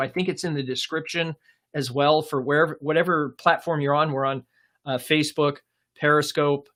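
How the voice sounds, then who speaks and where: A man with an American accent talks at a fairly quick pace, his pitch fairly high and its variation ordinary. The recording is very clean, with a silent background. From Portland, Oregon. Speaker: career coach. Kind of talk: live stream Q&A. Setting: live stream. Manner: hesitant with many fillers.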